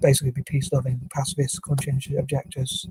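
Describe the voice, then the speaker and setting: Very fast, flat monotone speech from a man with a dark, mellow tone, somewhat breathy and fairly high in pitch. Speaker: video blogger. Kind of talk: monologue.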